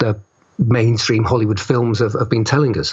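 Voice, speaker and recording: His voice comes out somewhat breathy. The man's pitch is medium. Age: 50s. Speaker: writer. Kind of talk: interview. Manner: halting, many fillers.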